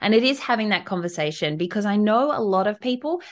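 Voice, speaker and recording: Lively intonation from a woman with an Australian accent. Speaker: travel advisor and business strategist. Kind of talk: podcast interview.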